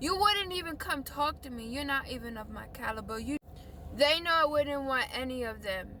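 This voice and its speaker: Over noticeable background noise, a woman with a high pitch uses a raised, projected voice at a moderate pace, with lively intonation and big swings in loudness. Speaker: video blogger. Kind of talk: emotional rant to camera. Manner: animated.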